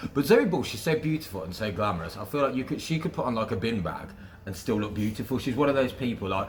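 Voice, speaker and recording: A man with a West Midlands accent speaks at a very fast pace in an animated tone with lively intonation. His medium-pitched voice sounds somewhat breathy. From West Midlands, England. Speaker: radio presenter. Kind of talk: casual interview.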